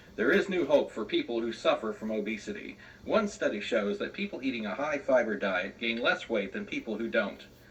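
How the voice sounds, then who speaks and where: Over noticeable background noise, a man talks at a fairly quick pace with hardly any pauses. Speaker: radio news broadcaster in a training demo. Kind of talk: radio news broadcast demo read.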